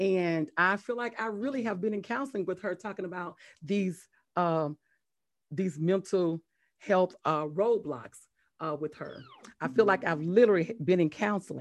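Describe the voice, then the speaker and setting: Against a quiet background, a woman speaks at a moderate pace with a medium pitch, an animated tone and lively intonation. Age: 50s. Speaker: podcast host and health educator. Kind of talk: casual interview chat.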